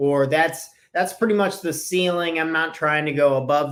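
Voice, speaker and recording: A man talks at a moderate pace with ordinary pitch variation and an unremarkable speaking voice. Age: 20s. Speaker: business and life coach. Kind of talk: solo podcast talk. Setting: video recording with screen share. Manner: casual.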